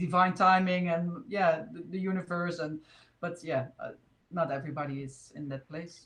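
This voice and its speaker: At a moderate pace, a woman with a Dutch accent and a fairly low pitch talks with ordinary pitch variation and big swings in loudness. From Netherlands. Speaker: spiritual video host. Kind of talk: casual chat. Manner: halting.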